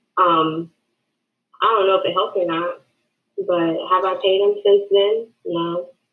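A woman's medium-pitched voice, monotone and flat, at a fairly slow pace with long, frequent pauses. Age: 20s. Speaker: young investor. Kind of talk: interview. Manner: hesitant, many ums.

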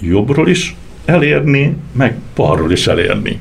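Amid audible room echo and noticeable background noise, a man of medium pitch speaks with very wide pitch swings. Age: 60s. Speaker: construction company owner and glider pilot. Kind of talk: interview.

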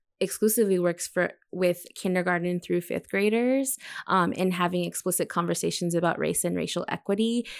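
On a very clean recording with a silent background, a woman with an American accent and an unremarkable speaking voice talks at a medium pitch and a moderate pace with fairly even intonation. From Texas, predominantly Mexican community. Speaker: teacher. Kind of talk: casual discussion.

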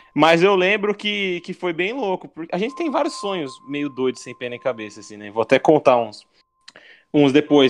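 A man's fairly high-pitched voice at a fairly quick pace, with very wide pitch swings. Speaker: podcast co-host. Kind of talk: casual chat.

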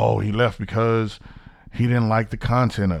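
On a very clean recording with a silent background, a man with a medium pitch speaks in an animated tone with ordinary pitch variation. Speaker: podcast host. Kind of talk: solo rant monologue. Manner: fast.

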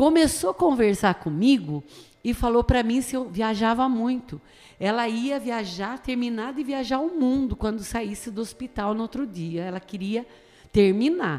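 This is a normal speaking voice at a fairly slow pace. Its intonation is lively. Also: woman, fairly high pitch for a woman. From Brazil, Tatuí (São Paulo state). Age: 50s. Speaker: pastor. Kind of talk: radio interview.

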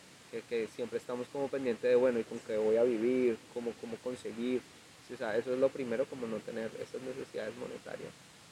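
A man's very fast, flat monotone at a medium pitch, with noticeable background noise. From Colombia, Ibagué (Tolima). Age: 20s. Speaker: music producer. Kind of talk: casual chat.

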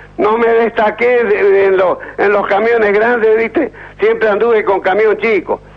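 Amid noticeable background noise, a man with a high pitch speaks at a fairly slow pace, his intonation fairly even and his loudness very even. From Santa Fe, Argentina. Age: 70s. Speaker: retired truck driver. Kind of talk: radio call-in.

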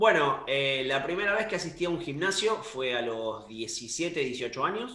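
Through noticeable background noise, a man's pitch swings very widely. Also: fairly high pitch for a man, fairly slow pace, hardly any pauses. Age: 30s. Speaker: fitness coach. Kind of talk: casual chat.

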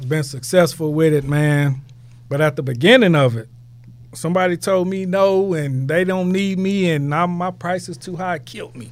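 This man has an unremarkable speaking voice with an American accent, set at a fairly high pitch with ordinary variation. He talks at a moderate pace, and his loudness swings widely. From Houston, Texas. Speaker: entrepreneur, product founder. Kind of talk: podcast interview.

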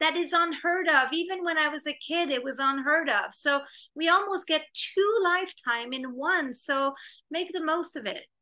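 A woman with a Quebec accent and a raised, projected voice, extremely high in pitch, bright and sharp in tone, with ordinary pitch variation. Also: moderate pace. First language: French. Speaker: film director and screenwriter. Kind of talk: interview. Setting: video call.

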